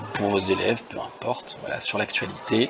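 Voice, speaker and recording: A man speaks with crowd noise in the background. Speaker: French teaching volunteer. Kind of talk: screen-share tutorial. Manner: fast; hesitant, many fillers.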